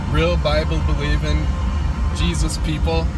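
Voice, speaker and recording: A man's voice at a moderate pace with ordinary pitch variation, dry with no echo, over loud background music. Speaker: faith vlogger. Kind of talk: casual vlog chat, exhortation. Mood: earnest, encouraging. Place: car. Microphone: phone near.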